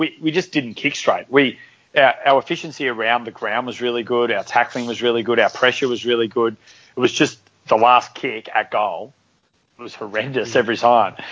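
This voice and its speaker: A man with an Australian accent at a medium pitch, fairly quick in pace and fairly even in intonation. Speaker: podcast co-host. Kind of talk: casual chat.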